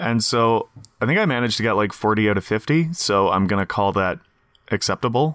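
Quick-ish at a fairly quick pace, a man talks in an ordinary speaking voice with medium pitch, ordinary pitch variation and very even loudness, the sound dry and close with no echo over a quiet background. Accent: Canadian. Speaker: podcast co-host, lab worker. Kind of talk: casual chat. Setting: remote call.

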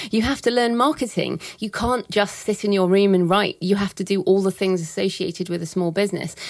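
A woman with an unremarkable speaking voice talks at a fairly quick pace with hardly any pauses. Her medium pitch shows ordinary variation. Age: 40s. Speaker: thriller writer and publishing expert. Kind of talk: interview.

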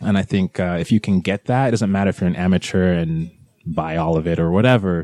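Speaking at a fairly quick pace in a Californian accent, a man with a very deep, low pitch and a dark, mellow tone shows ordinary pitch variation, the sound dry and close with no echo. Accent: sounds Californian. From England, London, with childhood in Nigeria and California. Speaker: cosplayer. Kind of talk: casual chat.

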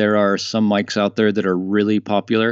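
Using a normal speaking voice, a man delivers his words at a moderate pace and a fairly low pitch. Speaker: podcast company founder. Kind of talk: casual interview chat.

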